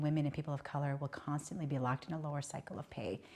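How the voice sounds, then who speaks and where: A woman's very deep, low voice with a dark, mellow tone at a very fast pace over a quiet background. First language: Hmong. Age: 50s. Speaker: politician. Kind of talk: interview. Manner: conversational, many filler words.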